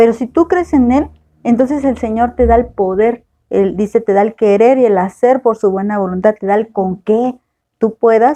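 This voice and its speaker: Her voice sits at a fairly high pitch for a woman, with ordinary pitch variation, a dark, mellow tone and a moderate pace. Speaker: Bible teacher. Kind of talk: Bible study lecture.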